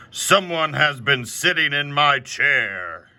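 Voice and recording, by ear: This man's pitch is fairly high in a put-on character voice. His delivery is fairly slow.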